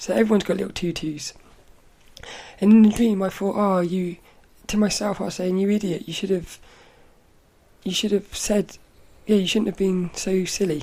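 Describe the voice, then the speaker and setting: At a moderate pace with long, frequent pauses, a woman speaks at medium pitch in a dark, mellow tone with fairly even intonation. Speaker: podcast host. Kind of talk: casual monologue recounting dreams.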